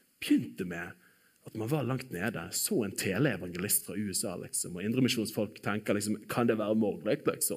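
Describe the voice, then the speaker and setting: A man with an unremarkable speaking voice talks at a fairly quick pace in a medium pitch, his intonation lively. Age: 30s. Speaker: preacher. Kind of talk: sermon.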